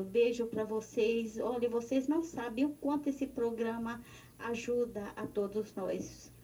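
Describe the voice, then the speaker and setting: A woman's unremarkable speaking voice, fairly high in pitch, with ordinary pitch variation at a fairly slow pace. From Recife, Pernambuco, Brazil. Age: 60s. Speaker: listener. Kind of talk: recorded voice message.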